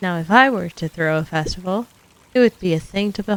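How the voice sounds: A natural reading voice carries the text.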